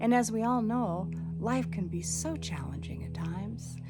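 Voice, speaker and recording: This woman's pitch swings very widely as she talks at a medium speed, with music in the background. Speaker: psychotherapist and meditation teacher. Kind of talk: channel introduction talk to camera.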